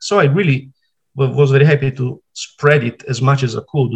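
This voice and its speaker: Speaking with an Italian accent, a man keeps a moderate pace and fairly even intonation, his voice somewhat breathy. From Italy (Sardinia). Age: 40s. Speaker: retro game simulator programmer. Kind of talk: interview. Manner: halting.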